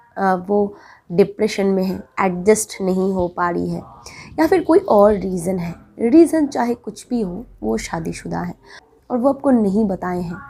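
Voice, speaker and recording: A woman speaks at a medium pitch with lively intonation and a dark, mellow tone. Her loudness rises and falls sharply. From Bengal, India. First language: Bengali (speaking Hindi). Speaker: relationship advice vlogger. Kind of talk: advice monologue to camera.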